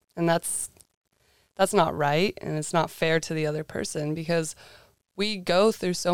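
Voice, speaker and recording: A woman speaks at a moderate pace with a very deep, low pitch. The sound is dry and close with no echo, on a very clean recording with a silent background. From northern California, small mountain town. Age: 20s. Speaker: college student intern. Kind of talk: casual interview chat.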